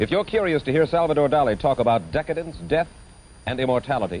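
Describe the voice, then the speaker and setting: With an American accent, a man talks at a very fast pace in a fairly high voice. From United States. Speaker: TV interviewer. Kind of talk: TV program introduction. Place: studio.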